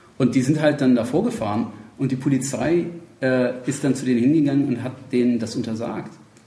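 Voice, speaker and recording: A man speaks at a medium pitch and a fairly quick pace with fairly even intonation. Audible room echo surrounds his voice. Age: 30s. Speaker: political activist. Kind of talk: casual interview. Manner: halting, many fillers.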